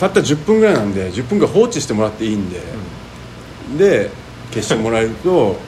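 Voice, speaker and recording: There is noticeable background noise behind this man. He speaks at a fairly quick pace with very wide pitch swings. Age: 40s. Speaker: podcast co-host. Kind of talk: casual chat. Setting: recorded in a soba restaurant.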